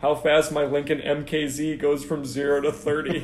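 A man talks at a fairly slow pace in a fairly high voice, with noticeable background noise behind him. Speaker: podcast host. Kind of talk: casual banter. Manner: joking, animated.

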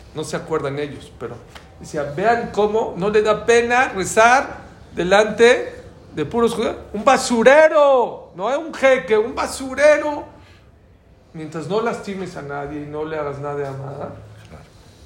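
Fairly slow and animated, a man speaks at a high pitch with very wide pitch swings, and audible room echo surrounds him. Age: 60s. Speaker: religious teacher. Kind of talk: lecture.

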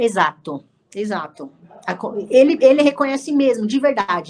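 The speaker is a woman with a high voice. Her pitch moves up and down very widely. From Brazil, São Paulo ABC region (Santo André). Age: 30s. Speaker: jiu-jitsu athlete and instructor. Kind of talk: casual interview.

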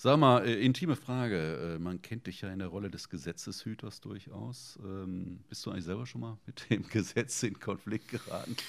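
With a plain, everyday voice, a man speaks at a moderate pace and fairly low pitch, his loudness swinging widely. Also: lively intonation. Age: 50s. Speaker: podcast host. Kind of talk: casual interview.

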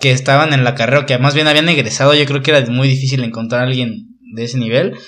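Someone talks at a fairly quick pace with fairly even intonation, and the room echo is audible. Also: man. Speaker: podcast host. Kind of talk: casual interview chat.

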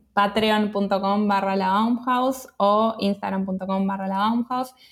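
Talking at a very slow pace, a woman keeps a medium pitch and fairly even intonation. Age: 30s. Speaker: freelance creative, community founder. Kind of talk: interview. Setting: remote call.

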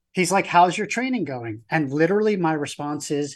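An unremarkable speaking voice with an American accent, lively intonation and a fairly quick pace, against a quiet background. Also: man. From New York. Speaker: endurance event participant. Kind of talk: interview storytelling.

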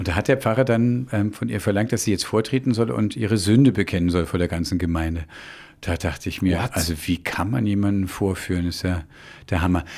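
The recording is very clean, with a silent background. A man with a plain, everyday voice talks fairly quickly at a fairly low pitch, with ordinary pitch variation. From Munich, Bavaria. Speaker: pastor and podcast host. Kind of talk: casual chat. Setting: studio.

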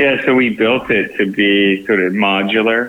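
A man with an American accent talks at a moderate pace in a fairly low pitch with fairly even intonation and an unremarkable speaking voice. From Texas, San Antonio. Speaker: film producer and farming entrepreneur. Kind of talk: podcast interview.

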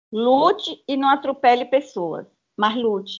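High pitch from a woman, with pitch variation of the ordinary kind. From Bahia, Brazil. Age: 70s. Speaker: retired civil servant and union member. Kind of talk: casual interview.

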